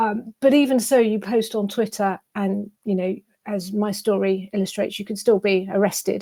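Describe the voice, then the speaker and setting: Speaking with a British accent, a woman has a medium pitch and a dark, mellow tone. Her pace is moderate and her intonation fairly even. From England, London. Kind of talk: interview. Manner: halting, many fillers and repeats.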